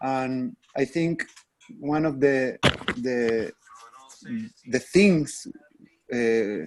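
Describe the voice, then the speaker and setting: Recorded dry and close with no echo, a man with a Spanish accent and medium pitch speaks very slowly, with lively intonation and long, frequent pauses. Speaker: workshop facilitator. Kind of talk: video call team meeting. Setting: video call. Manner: halting.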